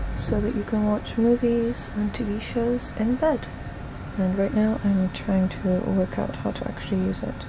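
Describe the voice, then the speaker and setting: A woman talks fairly slowly while noticeable background noise runs underneath. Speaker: travel vlogger. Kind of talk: casual vlog. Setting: capsule hotel pod at night. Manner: soft-spoken.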